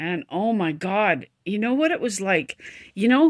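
With a quiet background behind her, a woman talks. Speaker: vlogger. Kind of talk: casual vlog chat. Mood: emotional, reflective storytelling. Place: home room. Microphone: phone near.

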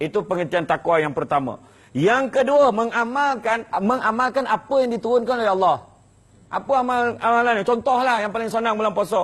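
A man with a high pitch and an animated tone, fairly quick pace, quiet background. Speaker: religious preacher. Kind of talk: sermon.

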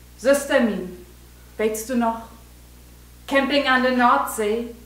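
A woman speaking at a very slow pace, with audible room echo. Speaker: poet performing own poem. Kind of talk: poetry reading. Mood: warm, nostalgic, expressive. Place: hall. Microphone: camera far.

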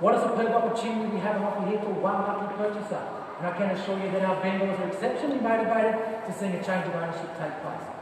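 With strong room echo and noticeable background noise, a man talks at a very fast pace in a high pitch. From Australia. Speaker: real estate auctioneer. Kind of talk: live auction calling. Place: hall. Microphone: camera far.

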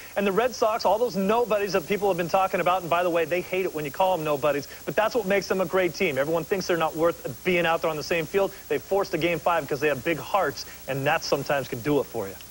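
Over light background noise, a man with a high pitch talks very fast, hardly pausing at all. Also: ordinary pitch variation. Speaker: baseball analyst. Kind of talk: sports analysis. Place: studio. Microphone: lapel.

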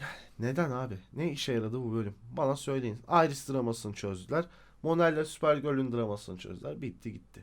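Animated in tone, a man speaks at a medium pitch and a fairly quick pace. His intonation is lively. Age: 30s. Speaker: YouTuber, TV series reviewer. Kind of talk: casual video review monologue.

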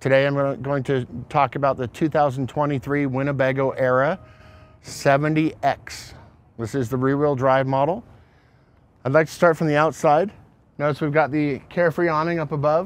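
At a moderate pace and with fairly even intonation, a man speaks with long, frequent pauses in a dry sound with no echo. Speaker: RV salesperson. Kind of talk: product walkaround presentation. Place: street. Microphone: lapel.

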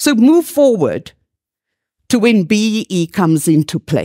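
In a dark, mellow tone, a woman speaks very slowly over a quiet background. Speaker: keynote speaker. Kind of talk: keynote speech. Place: hall. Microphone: headset.

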